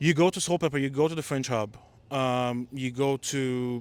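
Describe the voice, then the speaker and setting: A man with a non-native accent speaks at a fairly high pitch. The sound is dry and close with no echo, in a very clean recording with a silent background. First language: not English. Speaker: playwright and director. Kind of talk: casual interview chat. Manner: animated.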